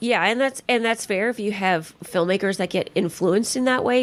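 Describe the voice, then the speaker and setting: At a fairly quick pace, a woman with a Californian accent speaks in an animated tone at a medium pitch with ordinary variation. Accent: General American, California. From Los Angeles. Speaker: casting director. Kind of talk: podcast interview.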